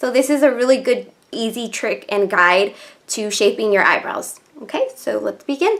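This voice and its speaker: A woman talks at a moderate pace with lively intonation and a high pitch. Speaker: beauty vlogger. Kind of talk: makeup tutorial. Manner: soft-spoken.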